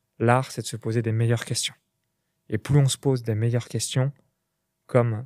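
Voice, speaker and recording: With monotone, flat intonation and a fairly quick pace, a man speaks at a medium pitch on a very clean recording with a silent background and a dry, close sound with no echo. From Burgundy, France (near Chalon-sur-Saône). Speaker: entrepreneur. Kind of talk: podcast interview.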